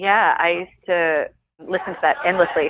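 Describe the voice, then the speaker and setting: Her fairly low-pitched voice carries an Australian accent. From Australia, Sydney. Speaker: actor and singer. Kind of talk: interview. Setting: podcast interview.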